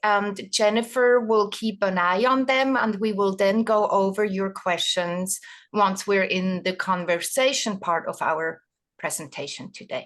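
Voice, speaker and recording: In a Swiss accent, a woman speaks at a fairly high pitch and a fairly slow pace. Her intonation is fairly even against a quiet background. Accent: Swiss accent, noticeable. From Switzerland. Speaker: doula trainer, retired nurse. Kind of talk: webinar presentation.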